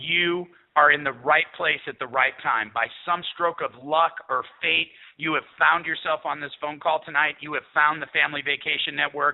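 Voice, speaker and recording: This man has a plain, everyday voice, fairly high in pitch for a man. He speaks at a moderate pace with fairly even intonation. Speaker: network marketing sales executive. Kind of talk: sales pitch. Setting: phone call.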